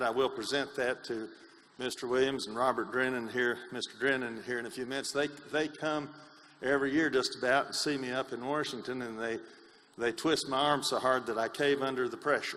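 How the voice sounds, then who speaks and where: A man speaks at a medium pitch with an East Tennessee accent and a bright, sharp tone. His delivery is fairly quick and monotone, with flat intonation. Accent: East Tennessee Southern. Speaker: congressman. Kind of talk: speech at a meeting.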